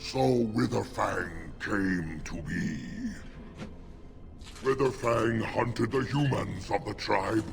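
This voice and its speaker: Over clear background music, a man in a put-on character voice speaks at a very slow pace and medium pitch, with long, frequent pauses. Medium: video game. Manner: gruff, intense.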